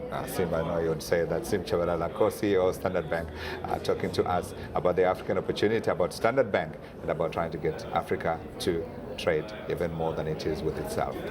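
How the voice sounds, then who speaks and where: A man speaks very fast in a very deep, low voice with ordinary pitch variation, over noticeable background noise. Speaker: TV business reporter. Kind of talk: TV interview. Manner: whispering.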